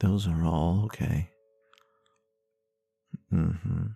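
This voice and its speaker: A man speaks with a very deep, low voice that is gentle, somewhat breathy, dark and mellow. His pace is very slow, with ordinary pitch variation. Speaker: ASMR roleplay creator. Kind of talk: ASMR comfort roleplay. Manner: gentle, soft-spoken, reassuring.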